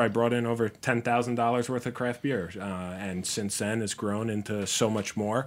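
In a very clean recording with a silent background, a man with an American accent and an ordinary speaking voice talks at a moderate pace and medium pitch with hardly any pauses. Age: 30s. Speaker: beer store owner. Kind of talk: casual chat.

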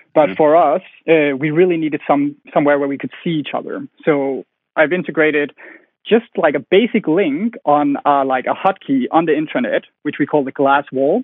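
At a moderate pace, the speaker talks in a Danish accent with ordinary pitch variation. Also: man, fairly high pitch for a man. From Denmark. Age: 20s. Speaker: company founder. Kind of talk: interview.

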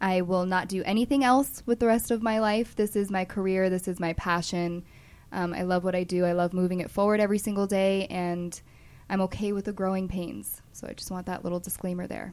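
Heard on a very clean recording with a silent background, a woman with a plain, everyday voice speaks fairly quickly at a medium pitch with fairly even intonation. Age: 20s. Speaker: cannabis compliance consultant. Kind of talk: interview.

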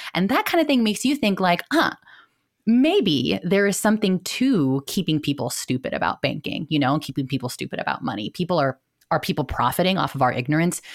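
A woman with an American accent speaks in an animated tone at a fairly quick pace, her fairly low pitch taking very wide swings. The recording is very clean, with a silent background. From US, Filipino American family. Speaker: financial educator and content creator. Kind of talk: casual interview chat.

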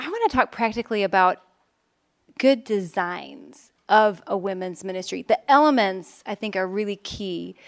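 The woman has a normal speaking voice with an American accent, medium pitch, a moderate pace and big swings in loudness, all sounding dry and close with no echo. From Chicago, Illinois. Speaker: church planter, women's ministry leader. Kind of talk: conference panel discussion.

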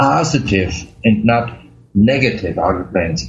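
A man with a German accent, somewhat breathy, with very wide pitch swings. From Germany. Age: 50s. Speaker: chronic pain patient. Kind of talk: interview. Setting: remote call. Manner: halting.

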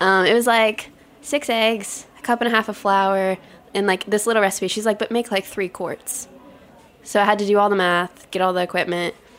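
A woman with a plain, everyday voice speaks at a medium pitch and a moderate pace with fairly even intonation. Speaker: pastry chef. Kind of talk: interview conversation.

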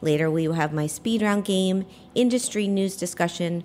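A woman speaks at a moderate pace and a medium pitch, with ordinary pitch variation. There is noticeable background noise. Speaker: podcast host. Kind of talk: live radio interview. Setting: live broadcast at a hotel. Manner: energetic.

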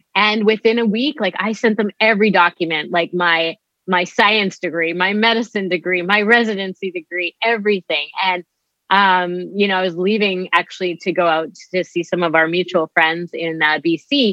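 A woman with a Canadian accent and an ordinary speaking voice talks at a moderate pace and medium pitch with ordinary pitch variation. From Canada, Winnipeg, Manitoba. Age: 40s. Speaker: physician. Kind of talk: interview.

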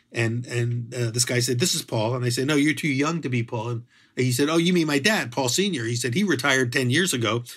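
In a very clean recording with a silent background, a man with a plain, everyday voice talks at a fairly quick pace with ordinary pitch variation. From Philadelphia, US. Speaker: bread and pizza author. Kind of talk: interview.

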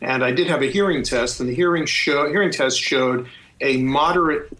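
A man with a plain, everyday voice speaks in a fairly high pitch with ordinary pitch variation. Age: 60s. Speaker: father in a family dispute, professional. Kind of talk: casual testimony.

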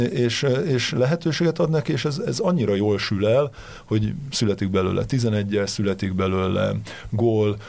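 A man speaks with an ordinary speaking voice at a fairly slow pace. His pitch sits fairly low. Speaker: football pundit. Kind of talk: casual football discussion. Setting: studio.

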